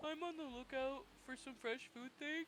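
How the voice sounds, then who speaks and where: Using a put-on character voice, a woman speaks high-pitched at a moderate pace against clear background noise. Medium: game stream.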